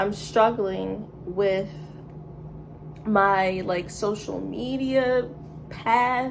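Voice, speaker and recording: A woman at medium pitch talks at a very slow pace with ordinary pitch variation and long, frequent pauses, amid noticeable background noise and audible room echo. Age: 20s. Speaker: vlogger. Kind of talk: casual rant monologue. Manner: casual, filler-heavy.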